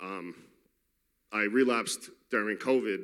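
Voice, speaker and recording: Speaking with a New York accent, a man has a fairly low pitch, a bright, sharp tone and fairly even intonation. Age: 30s. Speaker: recovering addict in a faith-based program. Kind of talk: testimony. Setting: church. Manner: casual and unscripted.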